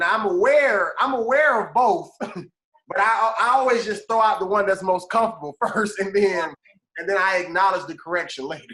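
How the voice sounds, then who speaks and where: Southern US accent at a moderate pace. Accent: Southern American. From American South.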